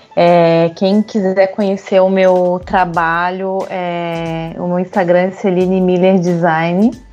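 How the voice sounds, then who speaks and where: Music plays in the background as a woman speaks at medium pitch, very slowly, with hardly any pauses. Her intonation is monotone and flat. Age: 30s. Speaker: industrial designer. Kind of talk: casual chat.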